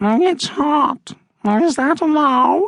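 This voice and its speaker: High in pitch, the voice is a put-on character voice. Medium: read story. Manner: languid, drawling.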